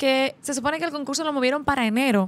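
Here a woman talks at a high pitch. Her pitch variation is ordinary. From Dominican Republic. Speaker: podcast host. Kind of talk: interview. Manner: animated. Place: studio. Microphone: studio mic.

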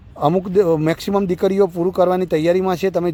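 The delivery is monotone with flat intonation. Its tone is dark and mellow. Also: man. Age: 40s. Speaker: running coach. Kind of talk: live commentary. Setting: outdoors.

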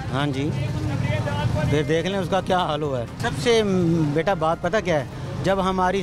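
At a very slow pace, a man speaks in a high pitch with ordinary pitch variation. Faint music plays in the background, and the sound is dry with no echo. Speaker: interviewee. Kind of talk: street interview answer. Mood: aggrieved, complaining about bribery. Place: street. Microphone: handheld.

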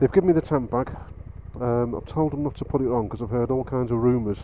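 With light background noise and a dry sound with no echo, a man speaks at a moderate pace with fairly even intonation. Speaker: motorbike vlogger. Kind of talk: casual vlog chat. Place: motorbike. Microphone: helmet.

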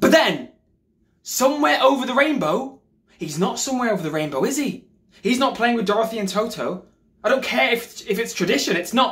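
An angry man's extremely high voice with lively intonation, a fairly quick pace and a quiet background. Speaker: drama graduate actor. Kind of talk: performed dramatic monologue. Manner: angry, exasperated, sarcastic. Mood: angry, bitter grief.

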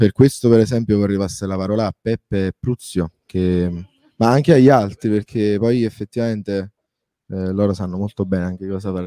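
This man's voice is fairly low, with a dark, mellow tone and fairly even intonation. He moves at a fairly quick pace, in a dry, close sound with no echo. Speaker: musician, video maker, band manager. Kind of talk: interview.

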